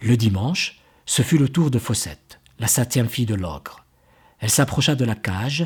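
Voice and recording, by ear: Someone reads a passage aloud. The voice is natural.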